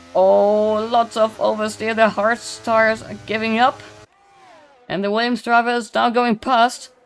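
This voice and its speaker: Someone with a non-native accent speaks at a fairly slow pace while music plays in the background. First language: not English. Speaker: sim racing commentator. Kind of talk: live commentary. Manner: halting; animated.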